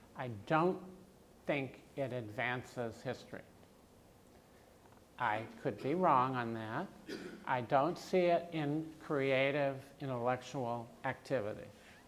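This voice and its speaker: The speech moves at a very slow pace in an American accent. Long, frequent pauses break it up. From US Midwest (Iowa). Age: 70s. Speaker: professor. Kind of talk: Q&A after keynote lecture.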